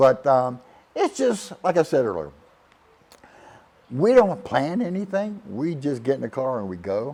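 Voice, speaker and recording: Speaking with a South Carolina accent, a man with a fairly high pitch swings very widely in pitch and leaves long, frequent pauses. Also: fairly slow pace. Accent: Southern US (South Carolina). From US South, Charleston, South Carolina. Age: 60s. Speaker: retiree. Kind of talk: casual testimonial. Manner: halting, with fillers and repetitions.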